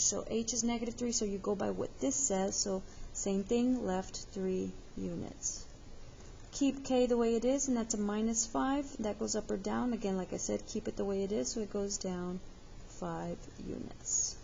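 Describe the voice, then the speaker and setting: Somewhat breathy and fairly high in pitch, a woman speaks at a moderate pace with ordinary pitch variation. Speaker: math teacher. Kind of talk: tutorial.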